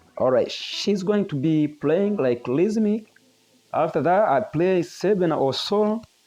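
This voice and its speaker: A man with a non-native accent and a high pitch speaks at a very slow pace, with very even loudness and a dark, mellow tone. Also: lively intonation. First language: not English. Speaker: guitar teacher. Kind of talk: tutorial.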